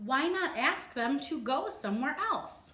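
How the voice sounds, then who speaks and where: A woman puts on a character voice, pitched high. She delivers it at a fairly slow pace. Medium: read story. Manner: calm, matter-of-fact.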